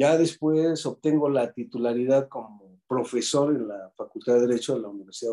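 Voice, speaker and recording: The speaker is a man. His tone is dark and mellow. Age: 50s. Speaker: retired judge, law professor and lawyer. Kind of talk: interview conversation.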